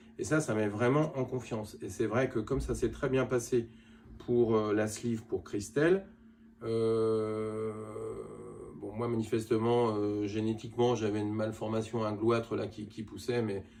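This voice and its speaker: The delivery is on the slow side. Its intonation is mostly level. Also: man. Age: 60s. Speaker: cosmetic surgery patient. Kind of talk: testimony. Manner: halting.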